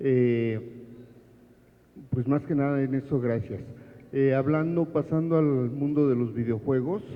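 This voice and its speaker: A man talks at a fairly slow pace. His pitch is medium and his intonation fairly even. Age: 60s. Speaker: audience member asking a question. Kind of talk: audience question at book presentation.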